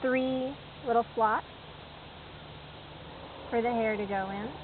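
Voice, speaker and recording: A woman with a fairly high pitch talks fairly slowly while noticeable background noise plays underneath. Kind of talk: how-to tutorial narration. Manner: casual.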